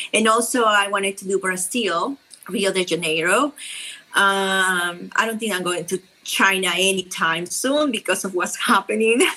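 A woman with a Peruvian accent talks at a moderate pace in a medium pitch with ordinary pitch variation, over noticeable background noise. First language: Spanish. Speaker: travel influencer and wheelchair user. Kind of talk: interview. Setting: at home.

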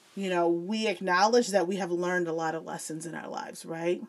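A woman speaks with a Midwestern US accent at a moderate pace. Her pitch is medium. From Joliet, Illinois. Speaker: former teacher, academic. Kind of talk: casual interview chat.

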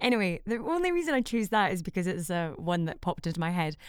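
Someone speaks at a fairly quick pace with a Scottish accent on a very clean recording with a silent background. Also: woman. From Scotland. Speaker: voiceover artist and actor. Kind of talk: casual chat.

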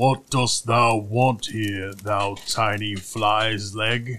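Putting on a character voice, a man speaks at a very slow pace and medium pitch with monotone, flat intonation.

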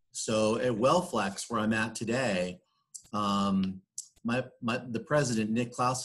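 Fairly slow and medium in pitch, a man's unremarkable speaking voice shows ordinary pitch variation. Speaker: business executive. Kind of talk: interview.

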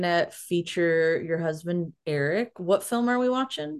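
A woman talks at a fairly slow pace with a fairly low pitch and lively intonation, over a quiet background. It is a normal speaking voice. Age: 30s. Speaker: podcast host, PhD student. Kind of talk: casual chat.

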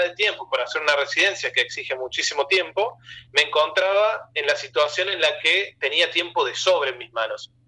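A man is speaking. His pace is fairly quick. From Argentina, Córdoba province. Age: 20s. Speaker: comic artist. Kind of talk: interview.

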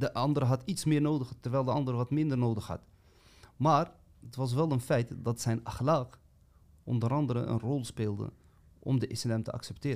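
Long, frequent pauses break up a man's moderate-paced speech, which has a medium pitch and fairly even intonation. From Amsterdam, Netherlands. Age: 30s. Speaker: podcast co-host. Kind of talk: casual chat.

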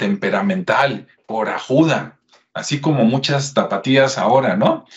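A man's somewhat breathy voice at medium pitch, with ordinary pitch variation and a fairly slow pace. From Mexico, Jalisco (Guadalajara). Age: 50s. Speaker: history YouTuber. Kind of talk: casual history talk with screen share. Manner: conversational.

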